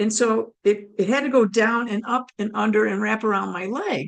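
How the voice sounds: A woman speaks at a medium pitch and a moderate pace. Her voice is raspy, with vocal fry and ordinary pitch variation.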